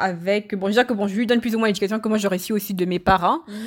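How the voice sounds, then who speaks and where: A woman talks in an unremarkable speaking voice. Her pitch is medium, with ordinary pitch variation. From Cameroon, Yaoundé. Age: 30s. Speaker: podcast guest. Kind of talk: casual chat.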